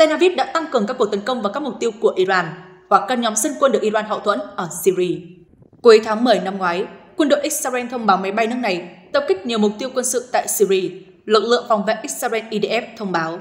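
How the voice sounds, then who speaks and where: A woman with a normal speaking voice talks at a fairly quick pace. Her pitch is fairly high and her intonation lively. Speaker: news presenter. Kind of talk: news reading.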